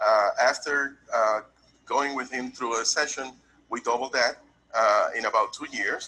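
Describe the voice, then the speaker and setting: A Puerto Rican accent over music in the background. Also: man. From Puerto Rico. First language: Spanish. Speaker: tax business owner, testimonial client. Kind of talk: testimonial.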